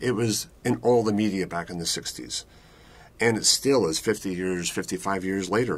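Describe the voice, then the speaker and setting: Over a silent background in a very clean recording, a man talks at a moderate pace with a fairly low pitch and ordinary pitch variation. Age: 60s. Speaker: prostate cancer patient. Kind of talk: testimony. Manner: halting.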